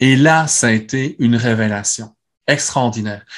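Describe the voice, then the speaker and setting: A man with a Belgian accent speaks at a very slow pace. His voice is somewhat breathy over a quiet background. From Belgium. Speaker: neuroscience speaker and clinician. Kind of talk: conference talk with Q&A.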